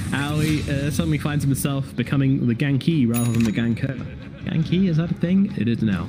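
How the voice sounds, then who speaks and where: Over noticeable background noise, a man with a British accent talks at a fairly quick pace in a fairly high voice, with lively intonation and very even loudness. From Britain. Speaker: esports caster. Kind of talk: live commentary. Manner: animated.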